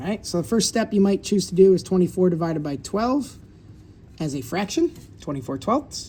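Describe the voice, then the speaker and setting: A man talks at a fairly quick pace in a high pitch with very wide pitch swings. His tone is dark and mellow. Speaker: fifth grade math teacher. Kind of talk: tutorial. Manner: fast; casual, conversational.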